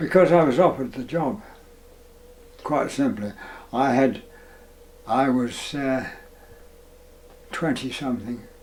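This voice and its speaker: Pausing long and often, a man of medium pitch speaks at a fairly slow pace with ordinary pitch variation over noticeable background noise. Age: 80s+. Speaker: retired town planning officer. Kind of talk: interview answer. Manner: hesitant, slow.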